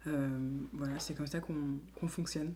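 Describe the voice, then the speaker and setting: A woman at a moderate pace. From France, Lyon. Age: 20s. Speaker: association founder and director. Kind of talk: interview monologue. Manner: hesitant, many fillers.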